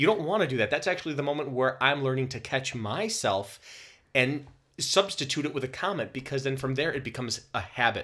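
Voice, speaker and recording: The tone is bright and sharp, with lively intonation. The pace is fairly quick. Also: man, fairly high pitch for a man. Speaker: podcast co-host. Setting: sharing one microphone, practice recording. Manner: relaxed, joking.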